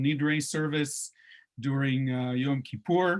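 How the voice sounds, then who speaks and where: Fairly slow speech from a man with a fairly high pitch. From Israel, northern Galilee kibbutz. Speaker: tour guide. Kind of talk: online lecture. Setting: video call. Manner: animated.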